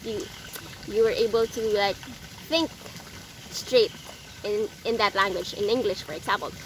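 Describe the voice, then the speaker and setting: A fairly high-pitched woman with a Filipino accent and lively intonation, over noticeable background noise. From Philippines. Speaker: vlogger. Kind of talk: casual vlog tips. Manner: halting, many fillers.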